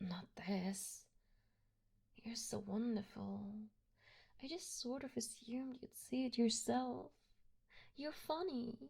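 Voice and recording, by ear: Putting on a character voice, a woman talks slowly with long, frequent pauses, her dark, mellow tone fairly high-pitched for a woman, carrying vocal fry and a slightly husky edge. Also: ordinary pitch variation.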